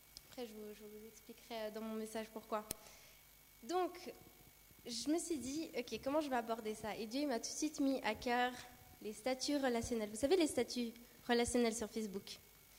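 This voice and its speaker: Amid noticeable background noise, a woman with a high pitch talks at a moderate pace, making long, frequent pauses, with big swings in loudness and ordinary pitch variation. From Brazil. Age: 20s. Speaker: church youth leader and nursing student. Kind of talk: sermon with personal testimony.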